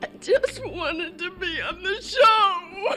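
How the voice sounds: Over clear music in the background, a female-sounding put-on character voice speaks at a fairly slow pace with an extremely high pitch.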